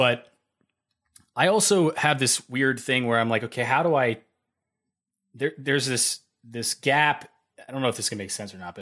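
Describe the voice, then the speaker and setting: Bright and sharp in tone, a man speaks at a moderate pace and medium pitch with lively intonation on a very clean recording with a silent background. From Tennessee. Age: 30s. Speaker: podcast host. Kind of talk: casual interview chat. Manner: animated.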